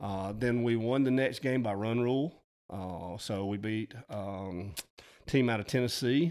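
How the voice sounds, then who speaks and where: Speaking at a fairly slow pace, a man with an Alabama accent uses a medium pitch and ordinary pitch variation. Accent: Southern US (Alabama). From US South, north Alabama. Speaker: high school teacher and coach, turkey hunter. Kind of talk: casual chat.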